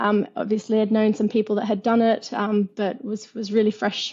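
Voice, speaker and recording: With an Australian accent, a woman speaks somewhat breathily at a fairly slow pace, her fairly high pitch held in fairly even intonation. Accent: Australian, clearly audible. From Australia, Perth. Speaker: fintech entrepreneur. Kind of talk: interview. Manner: hesitant, many fillers.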